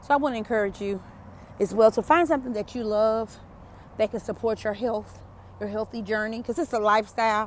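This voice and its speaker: In a Southern US accent, a woman with a fairly high pitch speaks at a fairly quick pace with an animated tone and ordinary pitch variation. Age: 40s. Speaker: podcast host, motivational speaker. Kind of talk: motivational monologue. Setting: outdoors, walking. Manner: animated, preachy.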